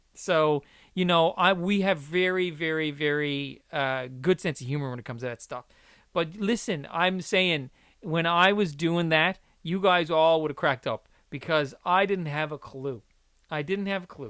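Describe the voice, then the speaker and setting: Recorded very cleanly against a silent background, a man speaks with a fairly high pitch and a bright, sharp tone. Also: ordinary pitch variation, moderate pace. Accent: Newfoundland. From Newfoundland, Canada. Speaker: podcast host. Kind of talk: casual chat.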